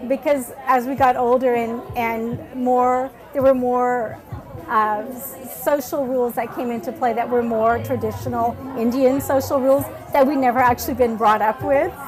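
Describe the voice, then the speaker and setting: Fairly even intonation and a moderate pace mark this speaker with an American accent, heard over noticeable background noise. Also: woman, high pitch for a woman. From Fiji, raised in the United States. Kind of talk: oral history interview answer. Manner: casual, reflective.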